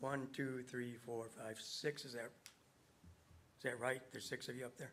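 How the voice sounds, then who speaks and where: A man with a western New York accent speaks at a medium pitch and moderate pace, his intonation monotone and flat. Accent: western New York American. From Webster, New York, US. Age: 70s. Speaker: resident speaking at public hearing. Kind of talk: public comment at town meeting. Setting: town board meeting room. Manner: confrontational, insistent.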